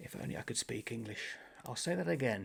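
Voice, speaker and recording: In a very clean recording with a silent background, a man speaks at a fairly slow pace with lively intonation. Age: 60s. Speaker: booktuber. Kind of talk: casual chat. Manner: rambling, self-correcting.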